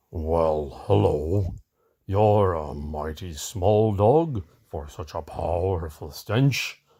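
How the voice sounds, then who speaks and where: Using a put-on character voice, a man speaks very slowly in a very deep, low pitch. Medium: read story.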